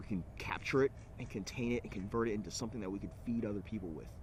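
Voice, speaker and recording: A man with an American accent speaks at a very fast pace and a fairly low pitch. His voice is somewhat breathy, with ordinary pitch variation. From California (Alameda, near Oakland). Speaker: entrepreneur. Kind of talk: personal pitch to camera. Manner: hesitant, many fillers.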